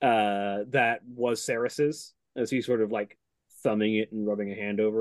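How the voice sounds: A natural reading voice carries fairly even intonation. Quiet surrounds it.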